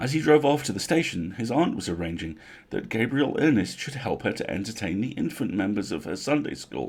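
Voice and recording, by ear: A man speaks at a fairly quick pace with a fairly low pitch and a slightly mellow tone. His pitch swings widely.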